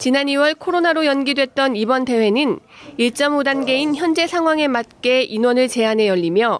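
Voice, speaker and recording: Over noticeable background noise, a woman with a high pitch and lively intonation speaks at a fairly slow pace. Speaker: news reporter. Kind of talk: news reading. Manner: formal.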